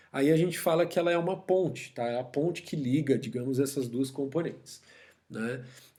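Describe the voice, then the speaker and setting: A man speaks with a dark, mellow tone and lively intonation. Audible room echo is present. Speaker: university professor. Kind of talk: lecture. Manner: fast.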